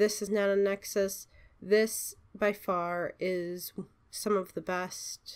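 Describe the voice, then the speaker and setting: This very clean recording has a silent background. A woman talks with fairly even intonation. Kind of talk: casual gaming tutorial talk. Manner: rambling, hesitant.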